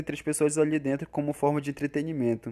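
The tone is dark and mellow. The recording is very clean, with a silent background. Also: man. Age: 20s. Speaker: podcast editor. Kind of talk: casual chat.

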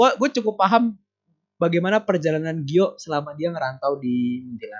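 This man's pitch swings very widely as he keeps to a moderate pace. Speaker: podcast host, education student. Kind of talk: casual chat. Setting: phone call. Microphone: low-quality call audio with dropouts.

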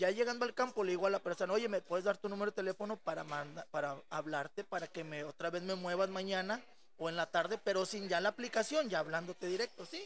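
The delivery is very fast with hardly any pauses and ordinary pitch variation. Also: man, high pitch for a man. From Monterrey, northern Mexico. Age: 30s. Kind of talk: casual chat.

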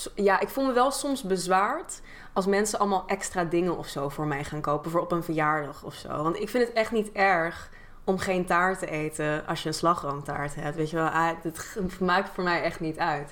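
A woman with an unremarkable speaking voice speaks at a moderate pace with ordinary pitch variation. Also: fairly low pitch for a woman. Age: 20s. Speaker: YouTuber and content creator. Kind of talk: casual chat.

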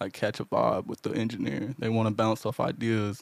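In an American accent, a man talks at a moderate pace and medium pitch. It is a plain, everyday voice. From Houston, Texas. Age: 20s. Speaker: audio engineer. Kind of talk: casual interview chat.

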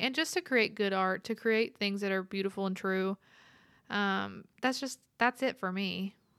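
Speaking with a Texan accent, a woman uses a bright, sharp tone at a medium pitch and a moderate pace. The recording is very clean, with a silent background. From West Texas, rural ranch. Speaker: singer-songwriter. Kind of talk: casual interview chat.

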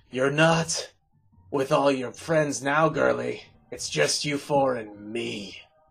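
A man's raspy, put-on character voice at a medium pitch and a fairly slow pace. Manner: menacing, terrifying.

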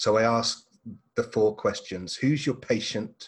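Very slow and somewhat breathy, a man with an English accent talks at a medium pitch with fairly even intonation. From England. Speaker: marketing coach. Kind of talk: casual interview.

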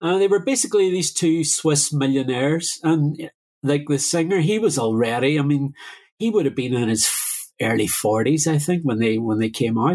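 Lively in intonation, a man with a Derry accent speaks at a fairly high pitch with very even loudness. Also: moderate pace. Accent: Northern Irish, Derry. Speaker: musician and DJ. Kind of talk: casual interview.

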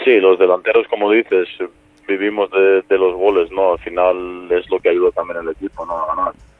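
Against noticeable background noise, a man with a Serbian accent speaks at a moderate pace. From Serbia, raised partly in Spain. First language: Serbian (speaking Spanish). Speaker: professional footballer. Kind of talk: interview.

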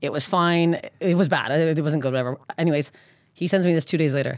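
Speaking at a very fast pace with a Canadian accent, a woman with a fairly low pitch is heard on a very clean recording with a silent background. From Canada. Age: 30s. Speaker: stand-up comedian. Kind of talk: casual chat.

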